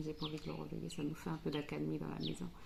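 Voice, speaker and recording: Noticeable background noise sits behind a woman as she talks. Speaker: family vlogger. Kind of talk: casual vlog talk to camera. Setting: home kitchen. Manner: soft-spoken, speaking quietly.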